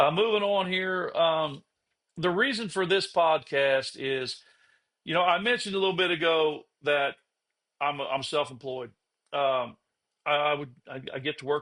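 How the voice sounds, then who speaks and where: A man's fairly high, bright, sharp voice at a moderate pace, with ordinary pitch variation and a quiet background. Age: 50s. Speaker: podcast host. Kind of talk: casual monologue. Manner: halting.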